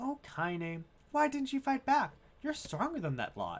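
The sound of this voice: Someone performs a put-on character voice with very wide pitch swings at a fairly slow pace.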